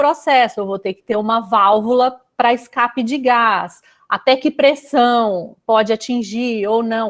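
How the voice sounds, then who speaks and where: A fairly high-pitched woman in a Minas Gerais accent, with ordinary pitch variation and big swings in loudness. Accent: Minas Gerais (mineiro) accent, noticeable. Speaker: chemical engineer. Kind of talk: casual interview chat.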